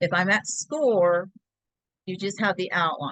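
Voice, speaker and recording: A woman talks at a fairly slow pace with ordinary pitch variation. The sound is dry with no echo against a quiet background. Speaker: laser engraving crafter teaching; craft software demonstrator. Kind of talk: tutorial. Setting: video call. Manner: loud. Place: home room. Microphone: video call.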